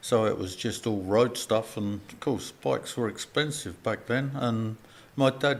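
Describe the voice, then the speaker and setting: There is noticeable background noise behind this man. He speaks at a moderate pace with a medium pitch. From England, North London (Edmonton), later Hertfordshire. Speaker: motorcycle club member. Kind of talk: interview. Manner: hesitant, with fillers.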